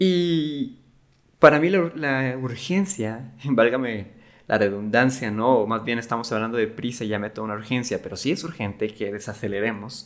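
Lively intonation marks a man's medium-pitched voice at a moderate pace. The recording is very clean, the background silent. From Mexico, Cancún. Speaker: creative agency worker and podcast host. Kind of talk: casual talk. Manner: halting, with repetitions.

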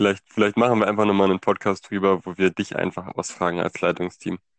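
Very deep and low, a man's monotone, flat voice moves at a fairly quick pace in a dry, close recording with no echo and a quiet background. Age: 20s. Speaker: chair of a church youth leadership team. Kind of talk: casual interview. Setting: at home.

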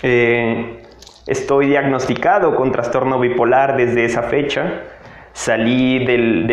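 Over noticeable background noise and audible room echo, a man speaks very slowly at a medium pitch with fairly even intonation. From Mexico, Tabasco. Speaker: podcaster. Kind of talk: motivational monologue.

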